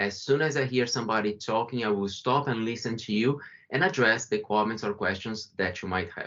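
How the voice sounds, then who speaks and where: With a Brazilian accent, a man speaks at a medium pitch and a fairly quick pace, with ordinary pitch variation. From Brazil, São Paulo. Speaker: company founder and CEO. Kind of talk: webinar presentation.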